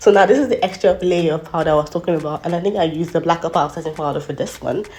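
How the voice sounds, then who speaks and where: A woman's fairly low voice at a very fast pace, fairly even in intonation, over background music. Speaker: beauty YouTuber. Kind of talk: makeup tutorial voiceover.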